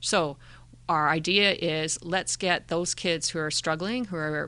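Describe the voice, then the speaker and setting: At a moderate pace, a woman with a Canadian accent talks in a plain, everyday voice at a fairly low pitch. The background is quiet. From Calgary, Canada (adolescence in Indonesia). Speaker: school district mental health manager. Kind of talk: interview.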